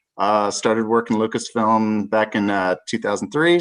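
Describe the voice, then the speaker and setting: A man with an American accent, an unremarkable speaking voice, and a quiet background. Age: 50s. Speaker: film company employee and collector. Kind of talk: casual chat.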